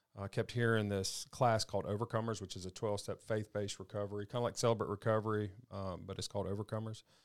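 A man with a Southern US accent talks very fast at a fairly low pitch in a monotone, flat delivery, on a very clean recording with a silent background. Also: hardly any pauses. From Mississippi, Madison. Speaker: faith-based recovery ministry leader. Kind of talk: testimony.

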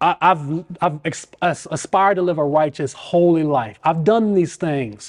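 This man has a normal speaking voice, fairly high in pitch with ordinary variation. He talks at a fairly slow pace with hardly any pauses. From US South, Richmond, Virginia. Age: 40s. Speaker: business owner. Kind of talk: casual interview, personal testimony.

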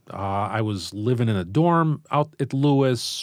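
With a Chicago accent, a man talks at a very slow pace. His intonation is lively. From US Midwest, Chicago Southwest side. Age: 50s. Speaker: high school English teacher. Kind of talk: casual interview conversation.

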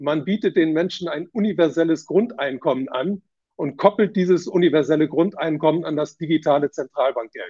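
This man's high voice shows ordinary pitch variation as he talks at a moderate pace. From Southeast Asia and Germany. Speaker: financial journalist and author. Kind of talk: interview.

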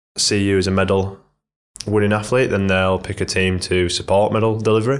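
With a Yorkshire accent, a man talks at a fairly quick pace and fairly low pitch, his intonation monotone and flat, his loudness very even, and his speech broken by long, frequent pauses. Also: very clean recording, silent background. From northern England, Leeds. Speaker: professional triathlete. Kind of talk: casual interview.

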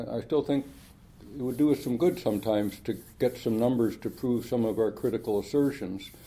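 A man with a Californian accent at a medium pitch, fairly quick pace and ordinary pitch variation. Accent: General American (California). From Los Angeles, US. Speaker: professor. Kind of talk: interview. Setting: in person at a conference. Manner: hesitant, many fillers.

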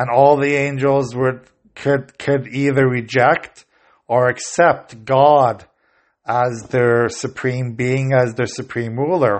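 The speaker is a man using monotone, flat intonation. He goes at a very slow pace. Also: medium pitch for a man. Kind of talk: religious teaching podcast. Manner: halting, many fillers.

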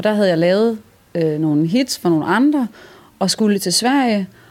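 A woman talks at a moderate pace in an ordinary speaking voice, medium in pitch. Her intonation is lively. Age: young. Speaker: singer-songwriter. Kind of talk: stage banter and interview. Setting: music venue.

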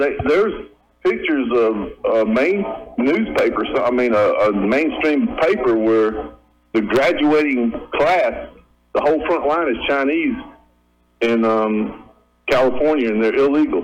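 This man, speaking in an American accent, keeps his loudness very even while leaving long, frequent pauses. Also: fairly slow pace. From Georgia US. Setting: phone call.

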